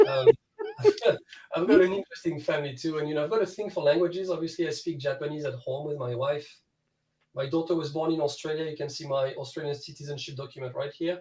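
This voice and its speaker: Very fast speech in a French accent with fairly even intonation. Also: man, fairly high pitch for a man. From France. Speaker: guitar student. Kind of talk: casual chat.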